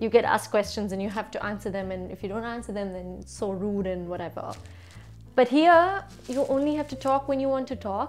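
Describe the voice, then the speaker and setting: Music plays in the background as a woman talks at a fairly quick pace with lively intonation. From Bangalore, India. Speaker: vlogger. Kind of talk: casual talk to camera.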